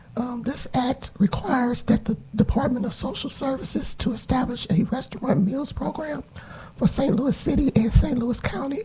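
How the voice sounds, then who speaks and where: The speech moves at a moderate pace, with noticeable background noise. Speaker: state senator presenting a bill. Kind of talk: committee hearing testimony. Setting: committee hearing room. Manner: halting.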